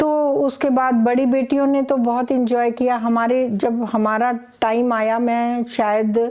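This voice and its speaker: This woman's high voice keeps a fairly even intonation and very even loudness, with hardly any pauses, over noticeable background noise. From Haryana, India (Jind district village). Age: 60s. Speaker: retired athlete, gold medalist. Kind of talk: interview.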